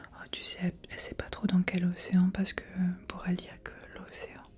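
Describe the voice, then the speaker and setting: Beneath the whispered speech, noticeable background noise can be heard. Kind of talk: improvised bedtime story, ASMR. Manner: slow, soothing, storytelling.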